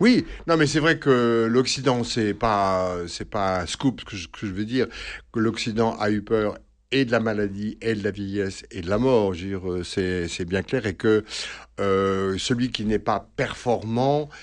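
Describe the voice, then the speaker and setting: Against a quiet background, a man with a fairly low pitch talks at a very slow pace with ordinary pitch variation. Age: 60s. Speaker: priest and psychoanalyst. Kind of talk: radio interview. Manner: halting, many hesitations.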